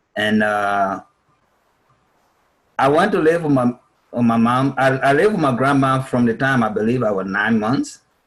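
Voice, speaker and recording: A man with a Liberian accent speaks at a moderate pace and medium pitch, his loudness very even and his intonation lively, broken by long, frequent pauses. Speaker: refugee speaker. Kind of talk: interview answer. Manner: talkative.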